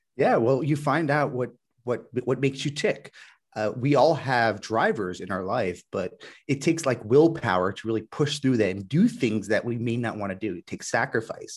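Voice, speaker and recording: A man speaks at medium pitch and a moderate pace with lively intonation over a quiet background. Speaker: web designer and podcaster. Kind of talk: interview. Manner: halting, repeats words.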